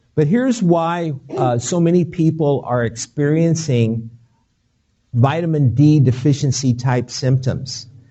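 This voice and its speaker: The pace is fairly slow. A man speaks in a somewhat breathy voice. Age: 60s. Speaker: physician. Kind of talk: lecture. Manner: halting, with many fillers and restarts.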